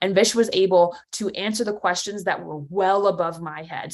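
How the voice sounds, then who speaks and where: The speaker has an American accent and an energetic tone, moving at a fairly quick pace. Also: woman. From New Jersey. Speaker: competitive intelligence leader. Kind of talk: conference talk. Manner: fast.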